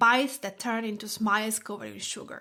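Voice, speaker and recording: With an Italian accent, a woman speaks at a moderate pace in a fairly high pitch and a bright, sharp tone. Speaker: food blogger and podcast host. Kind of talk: personal essay reading.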